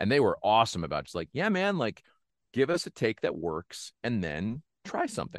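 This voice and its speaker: Vocal fry and very wide pitch swings at a moderate pace, dry and close with no echo, over a quiet background. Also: man, medium pitch for a man. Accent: American. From Northeast Pennsylvania. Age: 30s. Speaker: actor. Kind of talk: casual chat. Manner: animated.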